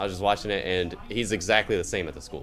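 Over noticeable background noise, a man with a fairly low pitch speaks at a very fast pace. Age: 20s. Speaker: dealer school student. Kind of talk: casual chat.

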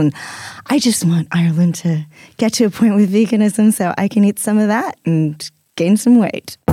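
Heard in a dry, close sound with no echo, a plain, everyday voice moves at a moderate pace with ordinary pitch variation. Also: woman. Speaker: podcast co-host. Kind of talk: casual chat.

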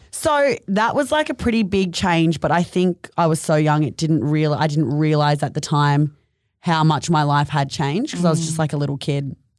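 Speaking at a fairly quick pace in an Australian accent, a woman has a very deep, low pitch, ordinary pitch variation and very even loudness, in a very clean recording with a silent background. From North Queensland, Australia (Mission Beach). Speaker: fashion label co-founder. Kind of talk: casual chat.

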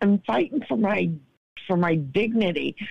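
A woman talks with lively intonation. Her voice has vocal fry. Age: 50s. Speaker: guest caller sharing personal struggles. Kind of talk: casual chat.

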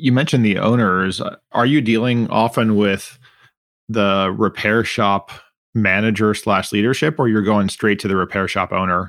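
Over a very clean recording with a silent background, a man talks in a normal speaking voice at a fairly low pitch. His pace is moderate, his loudness very even, and his pitch variation ordinary. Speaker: podcast host. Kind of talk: interview conversation.

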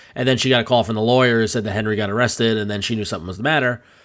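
A man's medium-pitched voice is heard on a very clean recording with a silent background. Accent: American. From Long Island, New York. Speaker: podcast host. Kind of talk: casual chat; show outro. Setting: studio.

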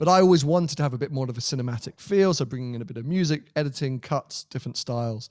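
Speaking with a British accent, a man talks at a very fast pace with hardly any pauses. His pitch is fairly high, with ordinary variation. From Britain. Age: 30s. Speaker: YouTuber. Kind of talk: casual chat. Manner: energetic.

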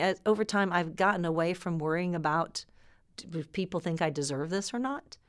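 Heard on a very clean recording with a silent background, this is an unremarkable speaking voice with ordinary pitch variation at a moderate pace. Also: woman. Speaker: oil industry executive. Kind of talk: interview.

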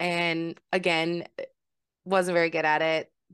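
A woman speaks at a fairly low pitch. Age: 30s. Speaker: podcast host and sex worker advocate. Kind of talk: casual interview chat.

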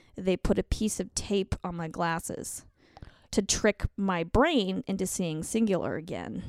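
A plain, everyday voice with an American accent, ordinary pitch variation and a fairly slow pace, dry and close with no echo on a very clean recording with a silent background. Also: woman, medium pitch for a woman. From Colorado, US. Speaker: author and comedian. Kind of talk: casual chat.

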